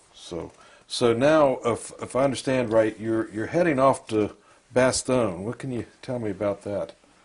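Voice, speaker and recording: This man has an unremarkable speaking voice at a medium pitch with ordinary pitch variation. He speaks at a fairly slow pace. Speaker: interviewer.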